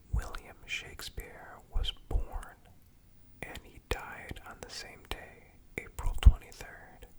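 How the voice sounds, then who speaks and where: A man whispering in a calm, soothing tone, over noticeable background noise. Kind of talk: ASMR fun facts reading. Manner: whispered; soft-spoken, calm, soothing.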